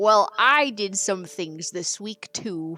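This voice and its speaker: In a female-sounding put-on character voice at medium pitch, the words come at a very slow pace. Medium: actual play. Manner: guileless, cheerful.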